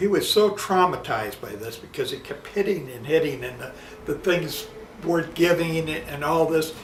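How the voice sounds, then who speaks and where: Lively intonation carries a Chicago accent through audible room echo and noticeable background noise. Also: man. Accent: Chicago American English. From US Midwest, Chicago southwest side. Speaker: interviewee recounting his life. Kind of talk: casual life-story interview. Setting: at home. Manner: halting, with many fillers and repetitions.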